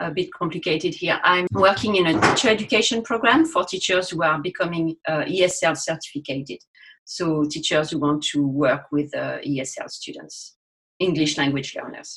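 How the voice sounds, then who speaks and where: A woman speaks at a moderate pace in a French accent. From France. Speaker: university teacher educator. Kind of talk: podcast interview.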